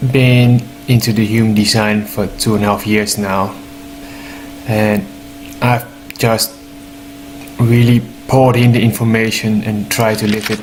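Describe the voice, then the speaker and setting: Over noticeable background noise, the speaker goes at a fairly slow pace with monotone, flat intonation and long, frequent pauses. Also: man. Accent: non-native. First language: not English. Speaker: human design teacher. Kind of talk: informal explanatory talk. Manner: halting, with fillers.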